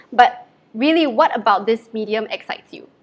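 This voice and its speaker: A woman with a Mandarin accent speaks at a fairly quick pace in a bright, sharp tone. Her fairly high pitch shows ordinary variation over a quiet background. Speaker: livestream host. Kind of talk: live interview.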